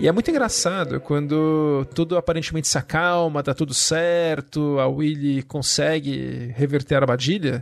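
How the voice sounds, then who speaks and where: With an ordinary speaking voice, a man talks in a fairly high pitch at a moderate pace, with fairly even intonation, very even loudness, and hardly any pauses. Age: 40s. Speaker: podcast host. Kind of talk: casual chat.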